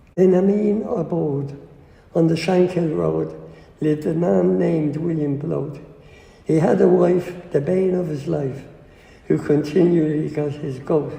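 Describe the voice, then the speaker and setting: A man's fairly high, somewhat breathy voice with a dark, mellow tone at a fairly slow pace. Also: ordinary pitch variation. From Dublin, Ireland. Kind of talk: poetry reading.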